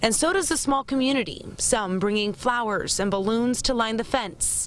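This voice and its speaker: Speaking at a moderate pace, a woman with a plain, everyday voice and fairly high pitch uses lively intonation. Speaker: TV news reporter. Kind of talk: TV news report / live broadcast.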